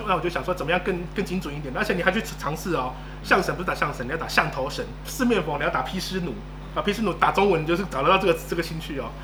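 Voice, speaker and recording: Very fast speech from a man, in audible room echo amid noticeable background noise. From Taiwan. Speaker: marketing consultant. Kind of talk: interview.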